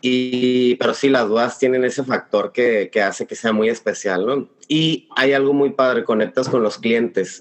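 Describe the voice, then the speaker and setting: At a fairly slow pace with hardly any pauses, a man talks in a plain, everyday voice of medium pitch with ordinary pitch variation. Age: 30s. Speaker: wedding planner. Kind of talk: casual chat.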